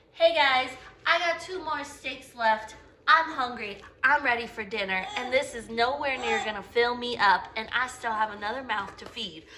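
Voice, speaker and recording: A woman's high, upbeat voice with lively intonation, a moderate pace and big swings in loudness, plus audible room echo and noticeable background noise. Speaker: cooking vlogger. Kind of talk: video intro.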